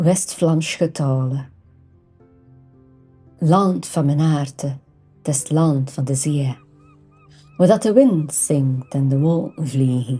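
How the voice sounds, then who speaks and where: A woman with a West Flemish accent, very deep and low in pitch, at a very slow pace with long, frequent pauses, ordinary pitch variation and music in the background. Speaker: language teacher. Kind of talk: poetry reading.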